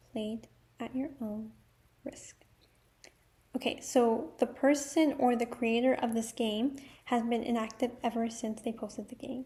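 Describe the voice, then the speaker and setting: Soft-spoken and high-pitched, a woman talks at a fairly slow pace with a dark, mellow tone, fairly even intonation, big swings in loudness and long, frequent pauses. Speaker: YouTuber. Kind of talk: casual vlog talk with reading aloud of rules. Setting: at home, others sleeping. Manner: quiet, speaking softly.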